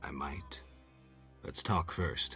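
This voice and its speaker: Over clear music in the background, a man speaks in a put-on character voice. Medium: video game. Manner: terse, dry.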